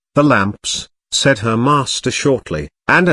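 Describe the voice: The background is kept quiet. Over it comes plain reading aloud.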